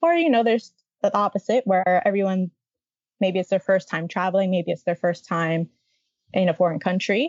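With an American accent, a woman speaks at a medium pitch with fairly even intonation and long, frequent pauses. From Miami, Florida. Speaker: travel blogger and army veteran. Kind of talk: interview.

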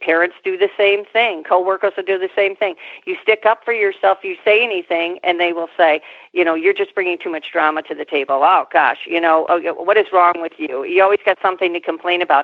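In a normal speaking voice, a woman talks at a fairly quick pace with a medium pitch and fairly even intonation. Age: 50s. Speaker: psychotherapist and podcast host. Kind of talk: interview.

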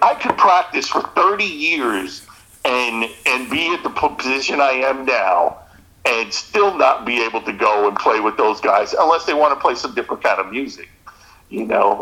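Noticeable background noise runs behind a man who talks at a moderate pace with an American accent. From New Jersey. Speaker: musician. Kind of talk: casual chat.

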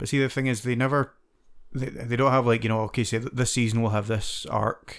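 Monotone and flat, a man with a Scottish accent speaks at a fairly quick pace and a medium pitch. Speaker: podcast host. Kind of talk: casual chat.

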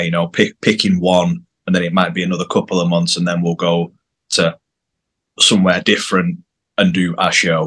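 A man with a northern English accent has a very deep, low pitch and a bright, sharp tone. His intonation is monotone and flat. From northern England, near Manchester. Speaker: rock band bassist. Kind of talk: casual interview chat. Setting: video call.

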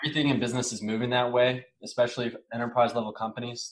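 Speaking at a very fast pace, a man talks in a medium pitch. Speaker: personal branding director. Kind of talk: casual interview.

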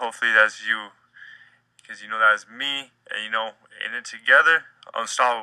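A man talks at a fairly quick pace but leaves long, frequent pauses. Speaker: podcaster spoken-word artist. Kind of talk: spoken-word monologue, motivational sermon-like rant. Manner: animated, urgent, street-slangy preacher cadence.

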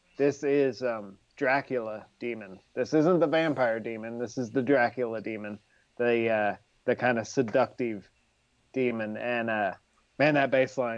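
Over a quiet background, a man talks in a plain, everyday voice at a medium pitch, a moderate pace and with ordinary pitch variation. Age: 40s. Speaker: music fan co-host. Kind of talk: casual chat.

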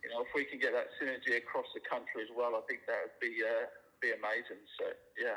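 This man speaks very fast in a British accent, his loudness swinging widely. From United Kingdom. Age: 40s. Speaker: general contractor, business owner. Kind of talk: casual chat. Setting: phone call.

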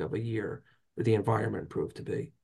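Somewhat breathy, a man with a fairly low pitch speaks at a fairly quick pace. His intonation is monotone and flat. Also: quiet background. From North Jersey. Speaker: trade association lobbyist. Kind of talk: interview.

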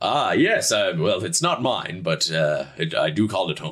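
Loud and booming, a man does a put-on character voice at a fairly low pitch and a moderate pace. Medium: actual play. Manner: loud, genial.

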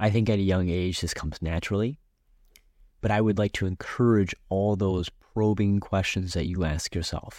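A man speaks at a moderate pace in an ordinary speaking voice, his fairly low pitch held to fairly even intonation on a very clean recording with a silent background. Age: 20s. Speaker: podcast host. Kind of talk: solo motivational monologue.

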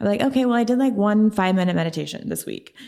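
A woman talks at a very fast pace with an American accent. Her pitch variation is ordinary. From Oklahoma City. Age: 30s. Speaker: health and fitness coach. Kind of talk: interview conversation.

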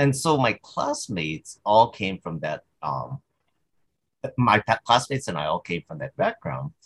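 This voice has vocal fry and a fairly slow pace. It shows very wide pitch swings and big swings in loudness. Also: man, medium pitch for a man, dry, close sound with no echo. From Hawaii, Big Island. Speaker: high school psychology teacher. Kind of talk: interview. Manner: halting.

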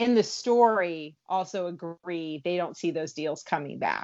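Speaking at a fairly slow pace, the woman has an unremarkable speaking voice. Her pitch is fairly low, with ordinary variation. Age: 40s. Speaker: entertainment and food journalist. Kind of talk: podcast interview.

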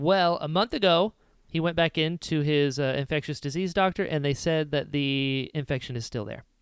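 In a plain, everyday voice with an American accent, a man talks at a moderate pace, his fairly high pitch showing ordinary variation, on a very clean recording with a silent background. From US, Florida. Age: 30s. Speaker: podcast co-host and actor. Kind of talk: casual chat.

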